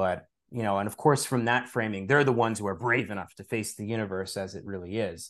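A man with an American accent at a very fast pace, fairly low in pitch, with ordinary pitch variation over a quiet background. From New York, Long Island. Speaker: author and spirituality teacher. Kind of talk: interview conversation.

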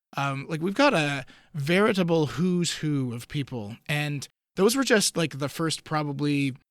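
A man's normal speaking voice, fairly high-pitched, with ordinary pitch variation and a fairly slow pace, on a very clean recording against a silent background. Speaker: event organizer. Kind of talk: casual chat.

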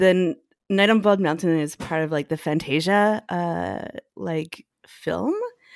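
On a very clean recording with a silent background, a woman with a Canadian accent and a plain, everyday voice speaks at a fairly slow pace, her fairly low pitch showing ordinary variation. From northern Alberta, Canada. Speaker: cellist and composer. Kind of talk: casual chat.

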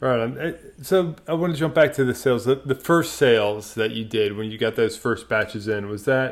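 A man's medium-pitched voice, a normal speaking voice with ordinary pitch variation and hardly any pauses, on a very clean recording with a silent background. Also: moderate pace. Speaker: podcast host. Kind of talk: interview.

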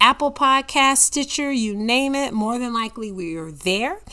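A woman's raised, projected voice, bright and sharp, with lively intonation, on a very clean recording with a silent background. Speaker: podcast host and mom. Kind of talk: solo podcast monologue.

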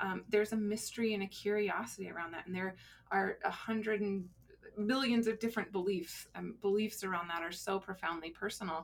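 Talking at a fairly quick pace in an ordinary speaking voice, a woman with an American accent keeps a medium pitch with ordinary variation. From Colorado. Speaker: grief center director, former hospice social worker. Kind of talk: interview conversation. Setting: studio.

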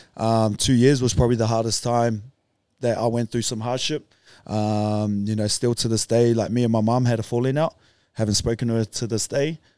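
In a New Zealand accent, a man at a medium pitch talks at a fairly quick pace with monotone, flat intonation and a dark, mellow tone, the sound dry and close with no echo. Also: very clean recording, silent background. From New Zealand, Auckland North Shore. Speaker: retired rugby league player. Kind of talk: casual chat.

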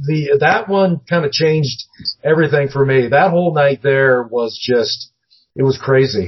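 A man with an American accent speaks at a fairly high pitch. His voice is somewhat breathy. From US Northwest, Seattle. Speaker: paranormal TV producer, former news journalist. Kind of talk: casual interview.

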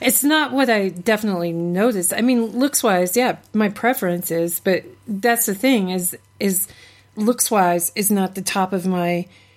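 A woman's unremarkable speaking voice at a medium pitch, fairly slow pace, ordinary pitch variation. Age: 40s. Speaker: podcast co-host and psychology student. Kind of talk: casual chat.

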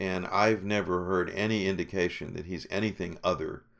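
A man speaks with a very deep, low pitch and vocal fry. His pace is moderate and his pitch variation ordinary. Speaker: drama critic. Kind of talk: casual chat. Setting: video call.

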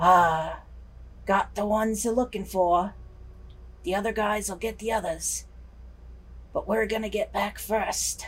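A put-on character voice, fairly high in pitch, at a moderate pace with long, frequent pauses. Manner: muttering, gruff.

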